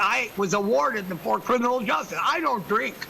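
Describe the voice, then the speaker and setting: A man's raised, projected voice comes at a high pitch and a fairly quick pace. Noticeable background noise runs underneath. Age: 60s. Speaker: public commenter. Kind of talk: public comment. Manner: rambling, halting.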